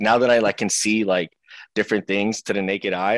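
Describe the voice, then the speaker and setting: In an American accent, a man with a fairly low pitch speaks at a fairly quick pace with fairly even intonation, recorded very cleanly against a silent background with a dry, close sound and no echo. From Seattle, US Pacific Northwest. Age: 20s. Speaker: professional wrestler. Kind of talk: casual interview.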